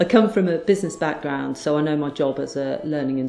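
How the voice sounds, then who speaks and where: Faint music plays behind a woman amid audible room echo. She talks at a very fast pace. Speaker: trainer, coach. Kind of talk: promotional self-introduction. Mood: warm, smiling. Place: classroom. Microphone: lapel.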